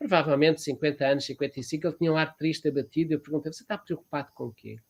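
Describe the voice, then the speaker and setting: This man has a fairly high-pitched voice. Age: 70s. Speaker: therapist and professor. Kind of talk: interview. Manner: halting, with frequent fillers.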